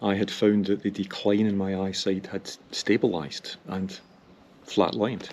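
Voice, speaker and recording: A man with an ordinary speaking voice talks at a moderate pace with a fairly low pitch. The recording is very clean, with a silent background. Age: 60s. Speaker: cycling vlogger. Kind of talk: casual vlog monologue. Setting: outdoors on a hill.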